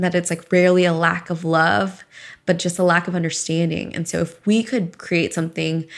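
At a moderate pace, a woman speaks in an ordinary speaking voice with a fairly low pitch. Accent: American. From US South. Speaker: podcast host and startup founder. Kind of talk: interview about her life story.

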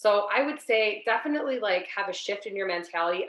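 Speaking fairly quickly, a woman with an American accent has a medium pitch and ordinary pitch variation. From Ohio. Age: 40s. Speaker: small business owner, diabetes patient. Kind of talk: interview, personal story.

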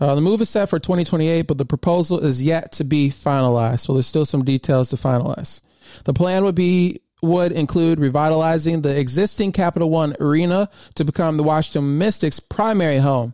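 On a very clean recording with a silent background, a man with an American accent speaks fairly quickly in a dark, mellow tone, his pitch fairly high and his loudness very even. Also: ordinary pitch variation. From US Midwest, Michigan. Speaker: podcast host. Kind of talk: solo podcast monologue. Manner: casual, with frequent fillers.

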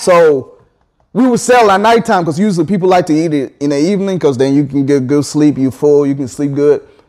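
In a plain, everyday voice, a man talks at a fairly quick pace, his fairly high pitch carried by lively intonation. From Ghana, Kumasi (moved to US at 11). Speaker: IT engineer and CBD business owner. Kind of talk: casual interview chat.

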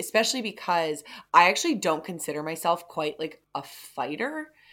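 A woman with a fairly low pitch and a bright, sharp tone swings her pitch very widely, on a very clean recording with a silent background. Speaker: podcast co-host. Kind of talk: casual chat.

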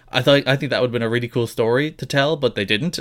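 Here is an ordinary speaking voice. A man talks at a medium pitch. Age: young. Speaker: wrestling podcast co-host. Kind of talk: casual chat.

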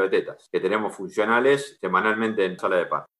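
Speech moves along fairly quickly. Its tone comes across bright and sharp. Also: man. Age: 40s. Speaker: agronomist and pig farmer. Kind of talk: interview. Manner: halting.

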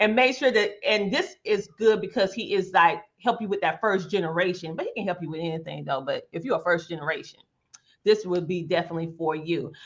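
A woman with a Southern US accent speaks at medium pitch with ordinary pitch variation. Her tone is animated and her pace fairly quick. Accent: rural Southern US twang. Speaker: podcast host. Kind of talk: interview talk show.

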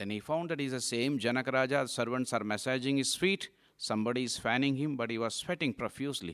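A man with an Indian accent talks at a fairly quick pace, pitched fairly high with ordinary variation. The recording is very clean, with a silent background. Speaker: monk giving a talk. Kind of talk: lecture to young audience. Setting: hall with live audience.

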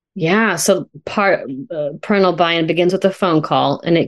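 Speaking at a moderate pace with fairly even intonation, a woman has an ordinary speaking voice with fairly low pitch. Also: quiet background. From California, Sonoma County. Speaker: family therapist, podcast co-host. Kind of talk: casual professional conversation.

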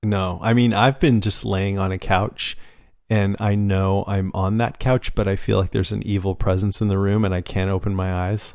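Over a quiet background, a man with a normal speaking voice talks at a moderate pace and fairly low pitch, his intonation fairly even. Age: 40s. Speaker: podcast host. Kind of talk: casual chat.

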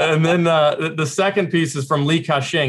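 This man has an ordinary speaking voice. His intonation is fairly even and his pace fairly quick. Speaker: managing director of a conference forum. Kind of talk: interview. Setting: video call.

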